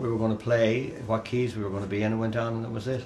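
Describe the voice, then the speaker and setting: A man talks at a medium pitch in a monotone, flat way. Audible room echo and noticeable background noise surround his voice. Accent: Dublin. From Ireland, Dublin. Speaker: folk musician. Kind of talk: casual chat. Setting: studio.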